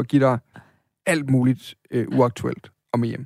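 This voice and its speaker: Very slow and fairly even, a man's medium-pitched voice has a dark, mellow tone in a dry, close sound with no echo. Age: 30s. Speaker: podcast host. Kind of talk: casual chat.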